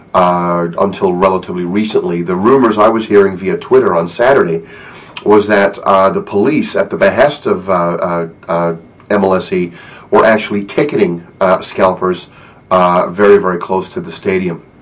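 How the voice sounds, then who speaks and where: Over noticeable background noise, a man speaks at a moderate pace. His pitch is fairly low and his intonation fairly even. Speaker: football fan video blogger. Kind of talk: video blog commentary. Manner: hesitant, many filler words.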